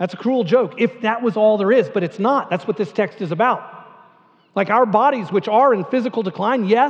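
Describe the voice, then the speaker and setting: A man's high-pitched voice at a fairly quick pace. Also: ordinary pitch variation. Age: 50s. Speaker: pastor. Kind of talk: sermon. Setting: church. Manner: conversational, many fillers and repeats.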